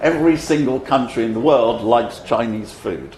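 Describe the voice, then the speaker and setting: Amid noticeable background noise and audible room echo, a man with a British accent speaks at a moderate pace with ordinary pitch variation. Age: 70s. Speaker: speaker on economics. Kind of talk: conference speech.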